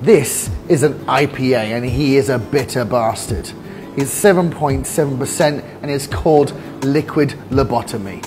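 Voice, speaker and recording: This man talks at a fairly slow pace. Faint music plays in the background. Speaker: beer reviewer. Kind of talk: review commentary. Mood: enthusiastic, upbeat. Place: bar.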